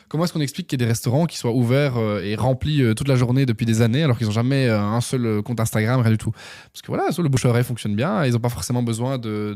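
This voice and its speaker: A man talks at a very fast pace with medium pitch and ordinary pitch variation. His tone is dark and mellow, and the recording is very clean with a silent background. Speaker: entrepreneur, former radio and TV presenter. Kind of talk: podcast interview. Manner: hesitant, many fillers.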